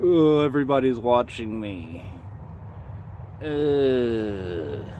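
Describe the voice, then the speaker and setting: Over noticeable background noise, a man mumbles in a medium-pitched voice. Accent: American. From Indiana. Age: 30s. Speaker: livestreamer. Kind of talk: casual chat. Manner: mumbling.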